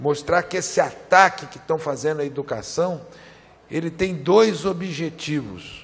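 Lively intonation from a man with a fairly high voice. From Brazil. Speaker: federal congressman; politician at a seminar. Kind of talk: political speech. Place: hall. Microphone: podium.

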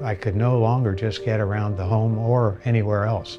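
Clear music plays in the background while a man with a fairly low pitch talks at a moderate pace. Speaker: retired marathon runner. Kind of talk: patient testimonial interview. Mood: upbeat, grateful. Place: studio. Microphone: lapel.

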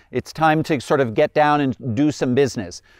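Over a quiet background, a man speaks at a fairly quick pace. His voice sounds dry with no echo. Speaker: riding instructor. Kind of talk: instructional commentary. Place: open country. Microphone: lapel.

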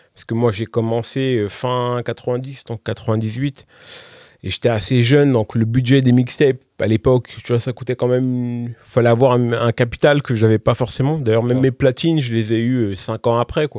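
A man of medium pitch speaks at a fairly slow pace in a monotone, flat way with a dark, mellow tone. The sound is dry with no echo and the background quiet. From France, Val-d'Oise (Paris suburbs); France. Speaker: DJ and music producer; DJ. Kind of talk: casual interview chat. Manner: hesitant, many fillers. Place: studio. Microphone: studio mic.

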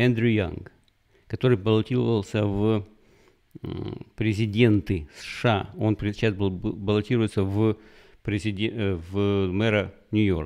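Against a quiet background, a man with a fairly low pitch and fairly even intonation talks at a very slow pace, leaving long, frequent pauses. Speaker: YouTube commentator. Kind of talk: solo news commentary monologue. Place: home room. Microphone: studio mic.

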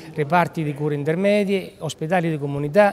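With music in the background, a man speaks at a moderate pace and with ordinary pitch variation. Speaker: health authority director. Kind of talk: interview answer. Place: hall. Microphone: handheld.

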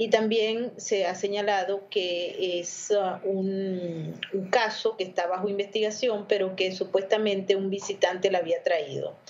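A woman at a fairly slow pace in a monotone, flat intonation. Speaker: correspondent. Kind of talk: news discussion. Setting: video call. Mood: calm, explanatory. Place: home room. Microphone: video call.

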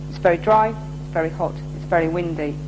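Over noticeable background noise, a woman talks at a fairly quick pace. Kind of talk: interview answer. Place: workshop.

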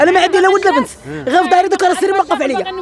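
There is crowd noise in the background. The speaker talks at a very fast pace. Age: 60s. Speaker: local resident. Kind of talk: street interview.

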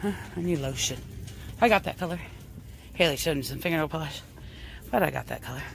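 Speech moves at a fairly quick pace. The sound is dry with no echo, with light background noise. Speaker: shopping vlogger. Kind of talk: casual vlog chat. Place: shop. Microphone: phone near.

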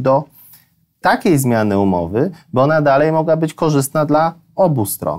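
Against a quiet background, a man with a fairly high voice speaks at a moderate pace. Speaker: energy company executive. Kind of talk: business interview. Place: studio. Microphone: lapel.

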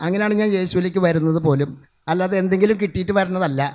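A loud man speaks at a high pitch with fairly even intonation. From Kerala, Tirur (Malappuram). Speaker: lay preacher. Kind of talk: testimony sermon.

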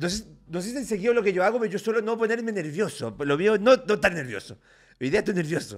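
Lively in intonation, a man with a high voice talks at a fairly quick pace. The background is quiet. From Chile, Valparaíso region. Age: 30s. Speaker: lawyer and political candidate; lawyer, candidate. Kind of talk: interview. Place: home room. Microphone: studio mic.

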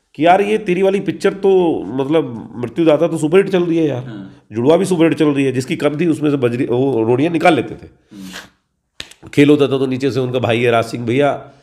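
This man has a fairly high pitch and lively intonation. His pace is moderate. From western Uttar Pradesh, Dadri area village; Uttar Pradesh, India. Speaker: actor. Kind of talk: interview. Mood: relaxed, amused storytelling. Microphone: handheld.

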